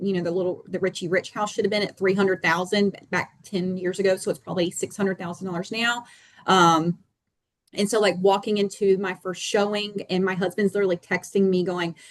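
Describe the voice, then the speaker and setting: A woman with a North Carolina accent talks at a medium pitch in monotone, flat intonation. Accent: North Carolina twang. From North Carolina, small town in the Piedmont. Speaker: real estate agent. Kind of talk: panel discussion.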